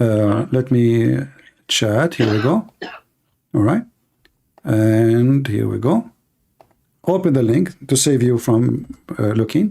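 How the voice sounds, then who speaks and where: A man with a dark, mellow tone speaks very slowly at a medium pitch, leaving long, frequent pauses. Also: ordinary pitch variation. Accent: Arabic. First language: Arabic. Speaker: religious debate host. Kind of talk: heated debate.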